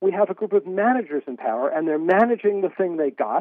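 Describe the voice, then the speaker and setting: A man with an American accent speaks at a moderate pace in a high pitch. His pitch variation is ordinary. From US. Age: 60s. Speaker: author and editor. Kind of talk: interview. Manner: halting, many repetitions.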